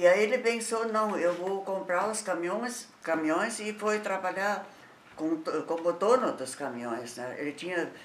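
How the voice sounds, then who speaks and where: A woman speaks with lively intonation amid audible room echo and light background noise. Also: fairly slow pace. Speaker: company founder's widow; interviewee. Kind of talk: oral history interview. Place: home room. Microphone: camera far.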